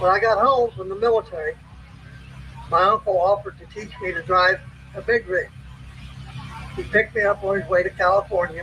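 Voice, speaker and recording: Raising and projecting his high voice, a man talks at a fairly quick pace with ordinary pitch variation and long, frequent pauses, over noticeable background noise. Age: 60s. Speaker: army veteran and former truck driver speaking at a rally. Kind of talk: prepared rally speech.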